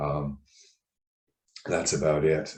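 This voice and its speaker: A man's very deep, low voice in a monotone, flat delivery at a very slow pace. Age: 60s. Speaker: personal trainer and podcast co-host. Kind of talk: podcast discussion.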